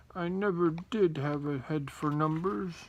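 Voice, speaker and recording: Using a put-on character voice, a man sounds croaky, with ordinary pitch variation. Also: fairly high pitch for a man, moderate pace. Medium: read story. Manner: feeble and croaky.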